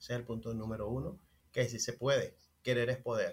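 At a moderate pace, a man talks in a somewhat breathy voice at medium pitch. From Venezuela, Maracay. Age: 30s. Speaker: restaurant owner. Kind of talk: interview.

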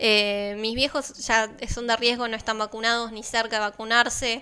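Bright and sharp in tone, a woman talks at a fairly high pitch. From Argentina, Balcarce (Buenos Aires province). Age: 20s. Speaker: radio host. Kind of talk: casual radio chat. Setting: studio.

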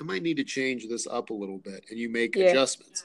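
His accent is American. The man's intonation rises and falls in a lively way. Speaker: podcast host. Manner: friendly, conversational.

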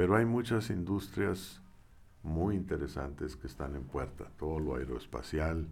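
A man speaks at a fairly slow pace in a very deep, low voice with vocal fry, and the room echo is audible. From Mexico, Saltillo. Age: 60s. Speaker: engineer and former university head. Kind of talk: interview.

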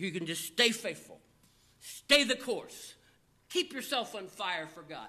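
A man's raised, projected voice in a Southern US accent, high-pitched with a bright, sharp tone, a fairly slow pace, long, frequent pauses, very wide pitch swings and big swings in loudness. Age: 50s. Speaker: pastor. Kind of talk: sermon.

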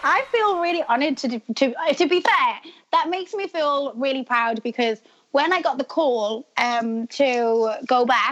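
In a British accent, a woman with a high pitch and lively intonation talks at a fairly slow pace, the sound dry and close with no echo. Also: hardly any pauses. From UK. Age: 30s. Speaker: reality TV star. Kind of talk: casual interview.

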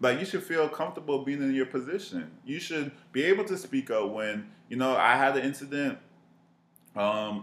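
With an ordinary speaking voice, a man talks in a fairly high pitch using lively intonation. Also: moderate pace. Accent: American. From Miami, Florida. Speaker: marketing professional. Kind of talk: casual chat.

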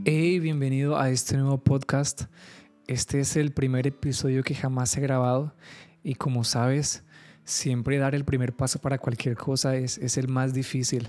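Speaking at a moderate pace, a man with a medium pitch and a dark, mellow tone keeps a monotone, flat intonation and very even loudness. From Colombia, Caribbean coast (Carmen de Bolívar). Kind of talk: solo podcast monologue, devotional teaching. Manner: halting, many fillers and repetitions.

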